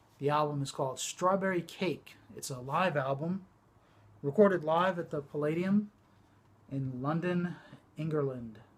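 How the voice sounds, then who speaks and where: Mumbling from a man with a fairly high pitch. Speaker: vinyl collector YouTuber. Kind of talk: casual show-and-tell vlog. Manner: hesitant, many fillers.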